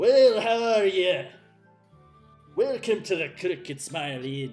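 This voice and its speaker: A man bellows loudly in a put-on character voice, high for a man, at a fairly slow pace, with faint music in the background. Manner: hearty, welcoming.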